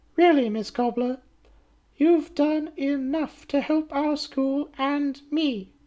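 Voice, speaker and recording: A woman puts on a high-pitched character voice. She speaks very slowly with fairly even intonation. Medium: read story. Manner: honeyed, false politeness.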